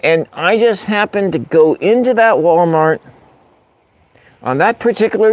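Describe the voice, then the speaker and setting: In an American accent, a man speaks at a fairly slow pace with very wide pitch swings. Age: 50s. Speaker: livestream host. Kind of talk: casual livestream chat. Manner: halting, repetitive.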